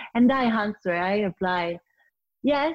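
A woman at medium pitch and a fairly slow pace, dry and close with no echo, over a quiet background. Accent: Italian. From Italy, Turin. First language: Italian. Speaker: sommelier and wine business founder. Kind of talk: interview. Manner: halting with many fillers.

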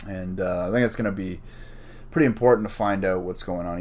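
A fairly quick pace with fairly even intonation. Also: man. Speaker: podcast host. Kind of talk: solo casual monologue. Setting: home during lockdown. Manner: rambling, loose and profane.

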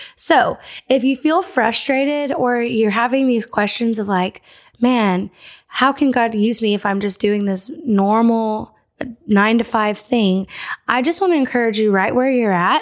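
A woman's ordinary speaking voice, fairly high in pitch, fairly slow, with very even loudness. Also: ordinary pitch variation. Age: 20s. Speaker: podcast host. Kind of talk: casual chat.

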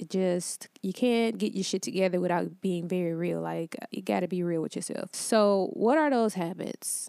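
In a plain, everyday voice with an American accent, a woman speaks at a moderate pace with hardly any pauses, her medium pitch showing ordinary pitch variation in a dry, close sound with no echo. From Detroit, Michigan. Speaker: life coach podcast host. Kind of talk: solo motivational talk. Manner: casual, conversational.

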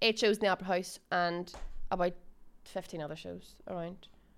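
A woman with a Northern Irish accent, fairly low in pitch, in a monotone, flat intonation. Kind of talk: casual chat.

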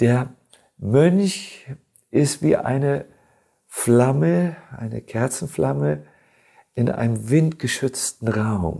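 With long, frequent pauses, a man speaks very slowly in a dark, mellow tone at medium pitch, his pitch swinging very widely. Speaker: monk and spiritual teacher. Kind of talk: casual chat. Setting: studio.

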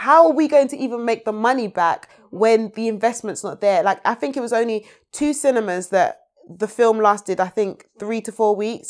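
A woman speaks in a London accent at a fairly high pitch. Her pace is moderate and her intonation lively. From London (Peckham), Nigerian family. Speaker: screenwriter and playwright. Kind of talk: casual interview.

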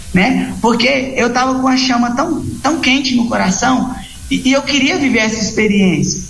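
With ordinary pitch variation and a moderate pace, a man speaks amid noticeable background noise and audible room echo. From Pará, Brazil (Redenção). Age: 20s. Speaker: missionary. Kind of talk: interview.

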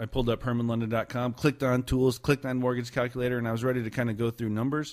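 Delivered at a very fast pace in a monotone with flat intonation, the voice sits on a very clean recording with a silent background. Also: man. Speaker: real estate agent and podcast host. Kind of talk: casual podcast hosting. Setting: studio.

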